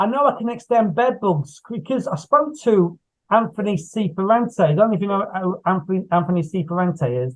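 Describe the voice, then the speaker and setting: A man talks at a fairly quick pace with an English Midlands accent. His pitch is high and his intonation is lively. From England, Coventry area. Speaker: horror author and screenwriter. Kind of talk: casual interview chat. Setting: video call. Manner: repetitive, halting.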